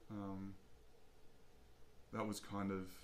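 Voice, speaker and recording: Someone with an Australian accent talks at a very slow pace with fairly even intonation. Audible room echo surrounds the voice. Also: man. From Australia, Albury, New South Wales. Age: 30s. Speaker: jazz saxophonist. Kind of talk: casual interview. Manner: hesitant, many fillers.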